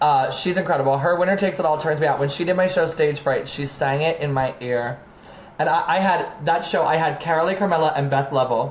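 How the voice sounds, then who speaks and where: A woman's very fast, animated delivery in an American accent, her pitch very deep and low, with ordinary pitch variation, very even loudness, audible room echo and noticeable background noise. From Maryland. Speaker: drag artist. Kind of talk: casual chat.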